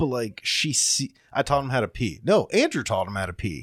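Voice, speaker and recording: A man's medium-pitched voice with vocal fry and very wide pitch swings, dry and close with no echo in a very clean recording with a silent background. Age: 30s. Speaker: podcast co-host. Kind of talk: casual chat.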